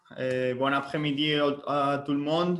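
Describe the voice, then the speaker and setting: A man's fairly high pitch with a non-native accent. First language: Spanish (speaking French). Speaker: sales area manager. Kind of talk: webinar presentation. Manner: halting, many fillers.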